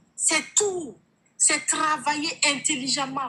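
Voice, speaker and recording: A woman speaks in an animated tone with lively intonation. Noticeable background noise sits behind her. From Burkina Faso. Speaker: online sales coach. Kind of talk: testimony.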